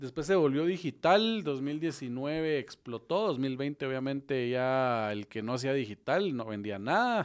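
With a Guatemalan accent and lively intonation, the speaker talks at a very slow pace on a very clean recording with a silent background. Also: man, fairly high pitch for a man. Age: 30s. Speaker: podcast host, real estate developer. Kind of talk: interview.

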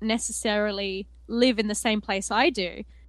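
Over a quiet background, a woman speaks with an Australian accent. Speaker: tabletop gaming podcaster and cosplayer. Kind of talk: casual chat.

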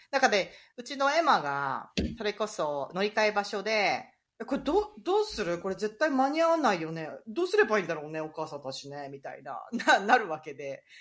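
The voice moves at a fairly quick pace with vocal fry. Both pitch and loudness swing widely. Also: woman, fairly high pitch for a woman. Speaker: podcast host, ICU nurse. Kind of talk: casual chat.

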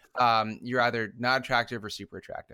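A man's bright, sharp voice at medium pitch in a very clean recording over a silent background. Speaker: podcast co-host. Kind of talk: casual chat. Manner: slurred, drunk-sounding speech.

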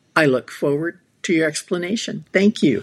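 Pitch variation here is ordinary. The speaker has a plain, everyday voice. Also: woman. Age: 60s. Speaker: listener with a recorded question. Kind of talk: recorded voicemail question.

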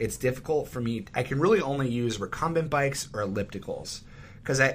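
At a moderate pace, a man with an American accent speaks in a somewhat breathy voice with ordinary pitch variation. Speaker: podcast co-host, school teacher. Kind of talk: casual chat. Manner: smooth.

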